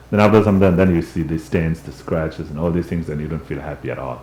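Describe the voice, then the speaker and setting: A man speaks with a very deep, low pitch and a resonant voice. Noticeable background noise runs under him. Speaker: Buddhist teacher and translator. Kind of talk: dharma class teaching. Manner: conversational.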